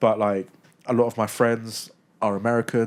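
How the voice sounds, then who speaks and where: Over a very clean recording with a silent background, a man speaks at a moderate pace. His fairly low voice stays monotone and flat. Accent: British. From UK. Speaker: sports content creator. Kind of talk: podcast interview.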